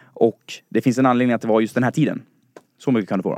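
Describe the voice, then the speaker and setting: At a fairly quick pace, the voice comes through dry and close with no echo. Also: man. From Dalarna, Sweden (Falun). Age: 20s. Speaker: listener, quiz contestant, student. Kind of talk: casual chat. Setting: studio.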